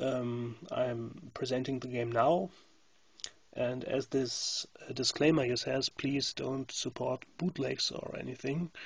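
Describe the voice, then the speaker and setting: A man at a medium pitch, fairly even in intonation, speaking at a very slow pace. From Germany. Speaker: game graphics artist. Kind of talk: gameplay commentary. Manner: halting, many fillers.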